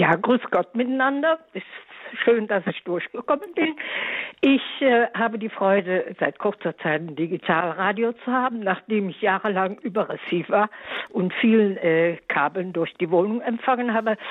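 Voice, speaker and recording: Using an ordinary speaking voice, a woman speaks at a fairly high pitch and moderate pace, with lively intonation and big swings in loudness. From Eifel, Germany. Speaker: caller. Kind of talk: radio call-in question. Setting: phone call.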